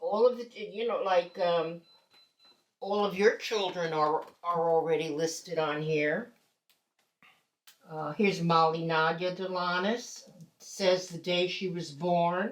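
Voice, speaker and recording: A woman with a fairly low voice speaks at a very slow pace, leaving long, frequent pauses. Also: ordinary pitch variation. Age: 80s+. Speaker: retired educator. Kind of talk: casual chat.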